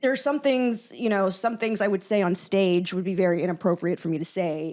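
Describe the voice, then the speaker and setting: At a fairly quick pace, a woman speaks in a medium pitch with lively intonation. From South Florida, Fort Myers. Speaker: podcast co-host and performer. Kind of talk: casual chat. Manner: halting, many fillers.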